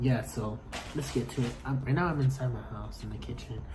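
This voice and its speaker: Noticeable background noise sits under words delivered at a moderate pace. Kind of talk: casual food review vlog. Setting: home kitchen.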